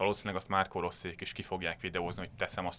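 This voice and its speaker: Speaking very fast, a man with a very deep, low pitch and a bright, sharp tone comes through on a very clean recording with a silent background. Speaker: football writer. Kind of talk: casual football discussion.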